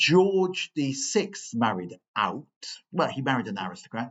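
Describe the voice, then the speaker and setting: The speaker is a man. His voice rises and falls across a very wide range. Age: 60s. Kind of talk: parish talk with questions. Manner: hesitant, repetitive.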